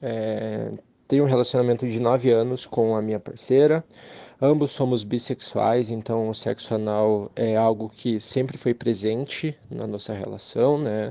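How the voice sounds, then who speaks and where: At a fairly slow pace, a man talks in a medium pitch with a dark, mellow tone and fairly even intonation. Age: 20s. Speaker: listener giving testimony. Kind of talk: recorded voice message testimony. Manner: halting, many fillers.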